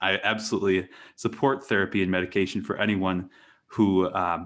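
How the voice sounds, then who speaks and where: In an American accent, a man with an unremarkable speaking voice and a fairly low pitch talks at a moderate pace. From US Midwest, rural western Wisconsin. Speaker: hypnosis consultant and podcaster. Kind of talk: interview conversation.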